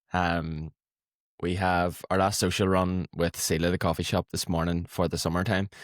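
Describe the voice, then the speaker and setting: A man with an Irish accent speaks at a moderate pace in a very deep, low pitch and a monotone, flat intonation. The sound is dry and close with no echo, and the recording is very clean with a silent background. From Ireland. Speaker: podcast co-host. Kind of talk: casual chat.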